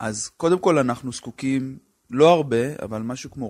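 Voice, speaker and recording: A man in an ordinary speaking voice, moderate pace and ordinary pitch variation, on a very clean recording with a silent background. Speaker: public health physician. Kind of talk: interview.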